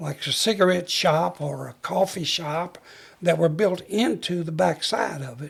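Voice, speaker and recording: Speaking with a Southern US accent, a man has a high pitch and lively intonation. His pace is fairly slow. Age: 80s+. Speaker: retired fire chief. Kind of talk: interview storytelling. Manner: halting.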